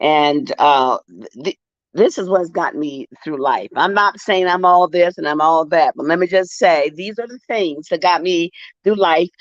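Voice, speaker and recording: A woman's fairly low voice with ordinary pitch variation, big swings in loudness, a fairly slow pace, and a dry, close sound with no echo. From Eastern Shore of Maryland, US. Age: 60s. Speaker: author. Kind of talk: interview. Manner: halting.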